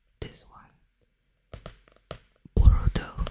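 Someone whispers at a very slow pace. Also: man. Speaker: ASMR creator. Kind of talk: ASMR video talk. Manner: whispered. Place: home room. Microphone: studio mic.

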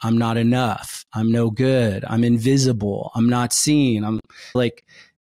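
At a moderate pace, a man speaks against a quiet background. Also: dry sound with no echo. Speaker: podcast host. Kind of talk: podcast conversation. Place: studio. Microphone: studio mic.

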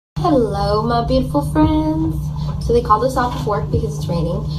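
Loud background noise fills the clip. A woman is speaking through it. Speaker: actress sharing behind-the-scenes facts. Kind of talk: casual vlog chat. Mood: relaxed, cheerful. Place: home room. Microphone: phone near.

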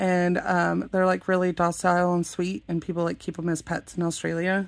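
A woman is speaking. Her pace is fairly quick. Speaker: thrift haul vlogger. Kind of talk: casual vlog chat. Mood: warm, cheerful. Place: home room. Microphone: phone near.

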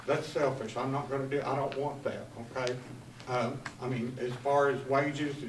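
Over light background noise and audible room echo, a man speaks fairly slowly. He has an American accent and monotone, flat intonation. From US South. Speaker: county department head. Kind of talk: report to county board. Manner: plain-spoken, not a practiced speaker. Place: meeting room. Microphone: camera far.

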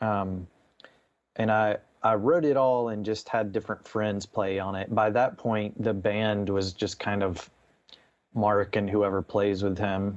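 In an ordinary speaking voice, a man with an American accent talks at a fairly slow pace and fairly low pitch, with fairly even intonation against a quiet background. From US South, Nashville, Tennessee. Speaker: musician and counselor. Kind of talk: casual chat.

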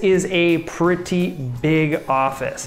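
Light background noise and audible room echo surround a man speaking with lively intonation. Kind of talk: home tour commentary. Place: home room.

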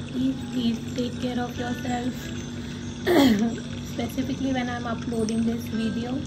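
A woman speaks fairly slowly, leaving long, frequent pauses. Loud noise fills the background. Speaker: tarot card reader. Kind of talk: tarot reading to camera. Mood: warm, caring. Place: home room. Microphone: phone near.

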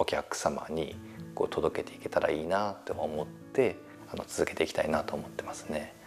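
The speaker goes at a moderate pace with big swings in loudness while music plays in the background. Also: man. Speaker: firewood producer. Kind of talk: interview answer.

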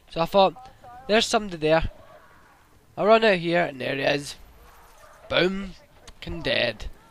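Amid noticeable background noise, a man with a high pitch speaks with long, frequent pauses. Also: ordinary pitch variation, moderate pace. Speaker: gaming YouTuber. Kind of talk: gameplay commentary. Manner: casual, hesitant with fillers.

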